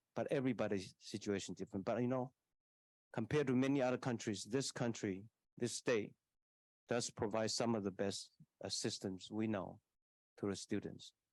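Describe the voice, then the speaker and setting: A man with a medium pitch speaks at a moderate pace in a very even loudness. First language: Taiwanese. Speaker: university leader. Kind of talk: answering audience question at public forum.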